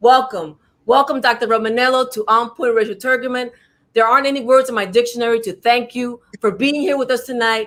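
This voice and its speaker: A woman talks at a fairly quick pace with a New York accent. Her pitch is high. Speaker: talk show host. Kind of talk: interview. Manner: animated.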